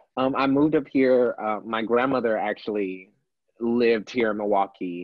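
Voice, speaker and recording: Speaking with an American accent, a man uses a plain, everyday voice at a medium pitch, with ordinary pitch variation and a moderate pace. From Texas, Houston. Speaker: drag performer. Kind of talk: casual chat.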